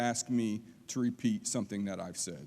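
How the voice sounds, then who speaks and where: A man's voice, very clean recording, background silent. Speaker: college lecturer. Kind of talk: public lecture. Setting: auditorium with audience. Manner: fast.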